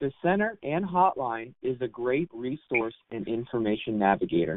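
A man with a plain, everyday voice at a fairly slow pace. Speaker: nonprofit programs manager. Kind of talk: announcements. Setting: phone call.

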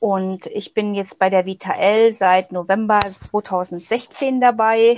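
A woman speaks at a very slow pace with hardly any pauses. Her pitch is medium and her intonation fairly even. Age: 40s. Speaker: pregnancy crisis counselor. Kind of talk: interview. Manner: hesitant, many fillers.

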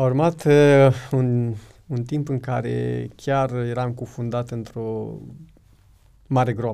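In a dark, mellow tone, a man speaks at a very slow pace with fairly even intonation. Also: medium pitch for a man. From Romania, Suceava county (Bukovina). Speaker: former prisoner sharing faith testimony. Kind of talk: testimony.

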